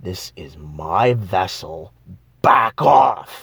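A man growls in a put-on character voice. His pitch is very deep and low. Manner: menacing, commanding.

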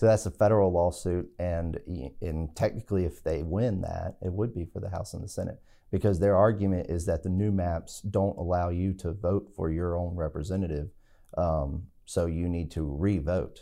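A dark, mellow voice with an American accent keeps a moderate pace and fairly even intonation. The background is quiet. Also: man, very deep, low pitch for a man. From Southside Virginia. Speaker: state legislator and lawyer. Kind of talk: casual interview.

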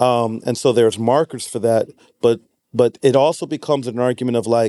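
Dark, mellow tone at a moderate pace. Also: man, dry, close sound with no echo. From Nashville, Tennessee. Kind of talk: casual conversation about faith.

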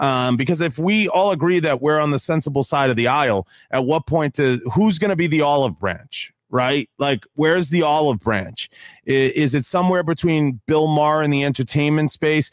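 A man with an ordinary speaking voice, fairly high pitch, ordinary pitch variation, very even loudness, moderate pace, and a dry, close sound with no echo. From Italian-American. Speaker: podcaster and YouTuber. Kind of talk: casual chat.

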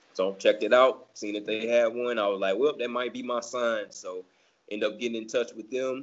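The speaker has an ordinary speaking voice in an American accent. The pace is fairly quick and the intonation fairly even. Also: man, medium pitch for a man. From US South. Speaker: amateur marathon runner. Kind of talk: casual chat.

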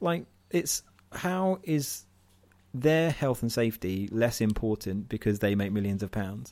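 Over a silent background on a very clean recording, a man speaks at a medium pitch. His pace is moderate and his pitch swings very widely. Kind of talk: casual chat.

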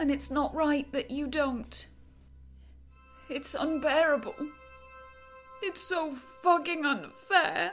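Over clear background music, a woman does a put-on character voice, high-pitched, tearful and shaky, with lively intonation, a fairly slow pace and long, frequent pauses. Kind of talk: audio drama acting. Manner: trembling, pleading, tearful.

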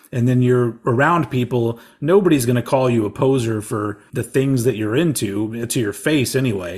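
At a moderate pace, a man talks in a medium pitch, somewhat breathy, with ordinary pitch variation. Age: 40s. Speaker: podcaster and radio host. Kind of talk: casual chat.

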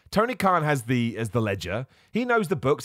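This man's pitch swings very widely. The recording is very clean, with a silent background. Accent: British. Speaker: wrestling podcast host. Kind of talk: casual solo podcast commentary. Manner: informal, chatty.

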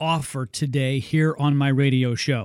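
A man talks in an ordinary speaking voice at a fairly slow pace. His pitch is fairly high. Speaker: radio host. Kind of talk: infomercial-style sales pitch. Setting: radio studio. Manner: pushy, upbeat, repeating the phone number.

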